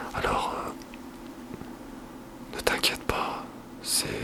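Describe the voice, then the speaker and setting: A man whispering amid noticeable background noise. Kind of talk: ASMR craft tutorial. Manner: whispered.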